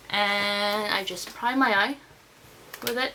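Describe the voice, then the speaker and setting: A woman speaks with a Russian accent. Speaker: beauty vlogger. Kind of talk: tutorial. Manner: casual.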